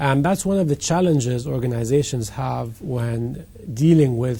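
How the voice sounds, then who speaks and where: With noticeable background noise behind him, a man speaks at a moderate pace in a medium pitch with ordinary pitch variation. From Egypt. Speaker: company CEO. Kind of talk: interview.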